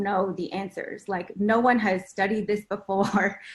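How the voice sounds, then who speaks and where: A woman's somewhat breathy, medium-pitched voice at a fairly slow pace. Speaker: math education researcher, former teacher. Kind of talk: panel discussion.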